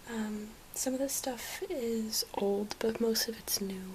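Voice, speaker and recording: A woman's fairly high voice with fairly even intonation, over noticeable background noise. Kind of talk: ASMR haul. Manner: whispered; soft-spoken.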